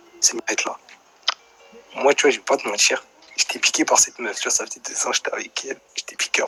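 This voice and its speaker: Soft-spoken and fairly quick, a man talks with long, frequent pauses and big swings in loudness. Music plays in the background, and the sound is dry and close with no echo. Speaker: live stream caller telling a personal story. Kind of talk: casual chat.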